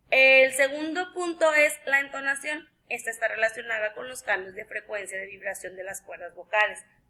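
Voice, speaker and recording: In a northern Mexican accent, a woman speaks in a raised, projected voice at a high pitch. Her intonation is lively, with hardly any pauses. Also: moderate pace, big swings in loudness. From northern Mexico. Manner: forceful, can sound angry.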